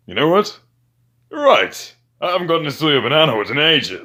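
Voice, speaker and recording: A man's put-on character voice, fairly high in pitch, on a very clean recording with a silent background. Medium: machinima.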